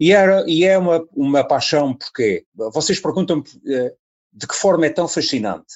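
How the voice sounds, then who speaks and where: At a moderate pace, a man with a high pitch and ordinary pitch variation speaks with long, frequent pauses. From Azores, Ponta Delgada. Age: 70s. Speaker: radio presenter and colonial war veteran. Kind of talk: interview.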